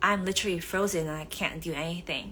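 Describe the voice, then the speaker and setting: A Vietnamese accent comes with a bright, sharp tone. The intonation is fairly even. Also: woman. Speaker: author. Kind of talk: live stream talk. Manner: hesitant with many fillers.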